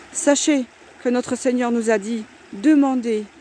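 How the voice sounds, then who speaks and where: A woman speaks loudly and at a high pitch. Her fairly slow delivery comes with noticeable background noise. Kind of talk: religious exhortation. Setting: outdoors by the water.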